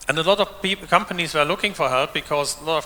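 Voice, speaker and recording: Noticeable background noise sits behind a man's voice. He speaks at fairly high pitch with ordinary pitch variation. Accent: German. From Germany. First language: German. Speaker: open source developer and conference speaker. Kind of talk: conference keynote talk. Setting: stage with audience.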